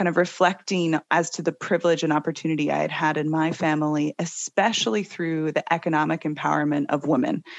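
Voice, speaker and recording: Using an ordinary speaking voice, a woman with a fairly low pitch talks at a moderate pace. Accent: American. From Seattle, US. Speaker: company co-founder. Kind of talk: interview conversation.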